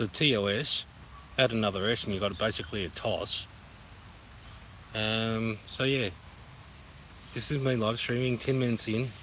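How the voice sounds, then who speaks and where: Speaking at a moderate pace with long, frequent pauses, a man with an Australian accent has a medium pitch, a bright, sharp tone and fairly even intonation. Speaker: vlogger. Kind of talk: live stream chat. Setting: outdoors in a park. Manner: casual, repetitive.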